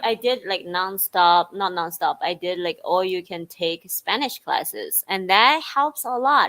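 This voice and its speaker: A woman with a Chinese accent speaks at a medium pitch and fairly slow pace, her tone bright and sharp, her intonation lively and her loudness swinging widely. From China. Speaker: Chinese teacher. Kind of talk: casual bilingual talk show chat.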